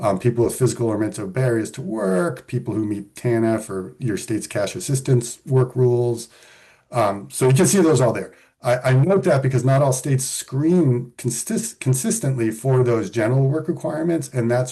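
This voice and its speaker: A man speaks in a somewhat breathy voice with a dark, mellow tone, medium pitch and ordinary pitch variation. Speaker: policy expert presenting on benefit rules. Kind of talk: webinar presentation with slides. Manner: fast.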